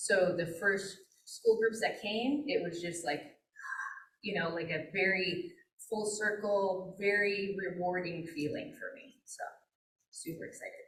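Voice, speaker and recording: Amid audible room echo, a woman talks at a fairly slow pace with long, frequent pauses and big swings in loudness. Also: medium pitch for a woman, ordinary pitch variation. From Flathead Indian Reservation, Montana. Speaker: wildlife biologist. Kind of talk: presentation. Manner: casual with frequent fillers.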